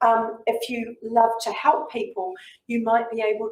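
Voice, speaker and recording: A woman with a New Zealand accent speaks at a moderate pace in a fairly high pitch. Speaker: community leader and fundraiser. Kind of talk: talk and Q&A to school students.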